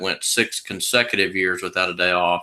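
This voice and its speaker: A man with a Texas accent talks at a fairly quick pace in a bright, sharp tone. The recording is very clean, with a silent background. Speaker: sales presenter for a legal plan company. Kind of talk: sales pitch.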